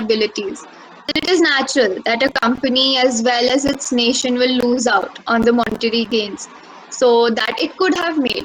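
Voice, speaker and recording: Over noticeable background noise, a woman speaks at a high pitch. She keeps a moderate pace. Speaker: speaker at mental health webinar. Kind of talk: prepared speech.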